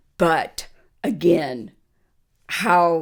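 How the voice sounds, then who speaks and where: With an American accent, a woman speaks at a fairly low pitch. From US Southwest, Las Vegas. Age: 70s. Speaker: interviewee, grandmother. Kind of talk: casual interview conversation.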